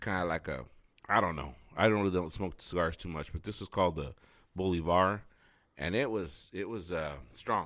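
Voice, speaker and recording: A man speaks with a very deep, low pitch and ordinary pitch variation. The recording is very clean with a silent background. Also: moderate pace. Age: 40s. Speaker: podcast host. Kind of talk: casual chat. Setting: studio.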